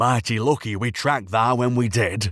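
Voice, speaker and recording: Putting on a character voice, a man growls at a moderate pace in a medium pitch. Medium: read story. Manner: blunt, teasing.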